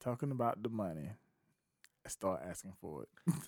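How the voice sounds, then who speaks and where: A man with vocal fry speaks at a moderate pace and fairly low pitch, making very wide pitch swings. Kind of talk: casual chat. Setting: studio.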